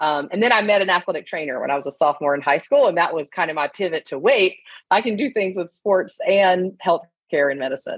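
A woman with a plain, everyday voice speaks at a fairly quick pace and a medium pitch, her intonation lively against a quiet background. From US South, southeastern Alabama. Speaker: professor and concussion researcher. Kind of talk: casual interview.

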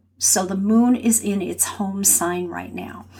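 Somewhat breathy, a woman with an American accent speaks at a moderate pace in a calm, soothing tone. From California. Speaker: podcast host and grief guide. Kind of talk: solo podcast monologue. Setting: home office.

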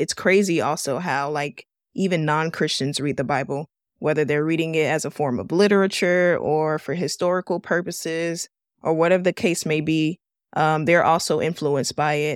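A woman's very deep, low voice at a moderate pace, fairly even in intonation, in a dry, close sound with no echo. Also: very clean recording, silent background. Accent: American. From Miami, Florida. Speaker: podcast host. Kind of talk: casual teaching talk.

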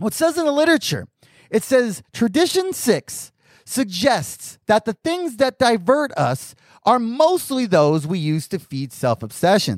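A man's voice with very wide pitch swings, dry and close with no echo, on a very clean recording with a silent background. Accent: General American. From US Southwest (Arizona). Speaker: podcast host, addict in recovery. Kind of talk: casual monologue.

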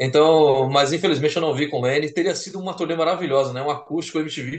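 Here a man talks in a fairly high voice. It is an ordinary speaking voice, at a fairly quick pace. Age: 40s. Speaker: music magazine writer, co-host. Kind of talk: casual chat.

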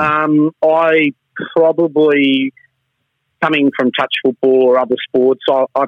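The speaker is a man with an Australian accent. He talks at a fairly slow pace with fairly even intonation. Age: 50s. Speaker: sports referee. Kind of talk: interview.

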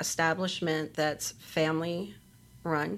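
A woman speaks at a fairly slow pace in a fairly low pitch. It is a plain, everyday voice. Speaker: bakery co-owner. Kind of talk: interview.

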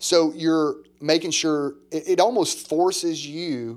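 Speaking at a very slow pace, a man with an American accent uses a fairly high pitch on a very clean recording with a silent background. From US South, small-town Mississippi. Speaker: pastor, church planter. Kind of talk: casual chat.

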